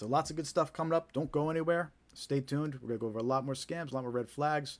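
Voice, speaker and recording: The pace is very fast, with fairly even intonation and a New Jersey accent. The recording is very clean, with a silent background. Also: man, fairly high pitch for a man. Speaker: scam awareness live streamer. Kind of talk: live stream talk to viewers. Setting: live stream, home studio. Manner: casual, repetitive with filler words.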